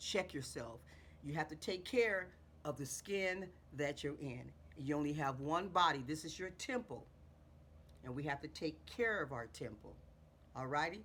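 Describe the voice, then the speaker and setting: With lively intonation and long, frequent pauses, a woman talks at a very deep, low pitch. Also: moderate pace. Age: 60s. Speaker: beauty vlogger. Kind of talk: tutorial. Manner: casual, repetitive.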